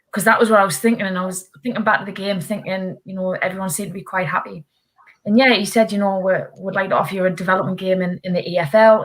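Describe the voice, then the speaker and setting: Speaking at a very fast pace, a woman uses a somewhat breathy, medium-pitched voice with fairly even intonation. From northeast England. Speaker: football referee. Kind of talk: panel interview. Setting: webinar video call.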